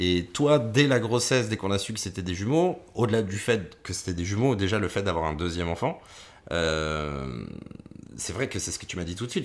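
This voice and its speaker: Speaking at a fairly quick pace with lively intonation, a man has fairly low pitch and an unremarkable speaking voice. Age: 30s. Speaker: podcast co-host and radio presenter. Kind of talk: casual chat.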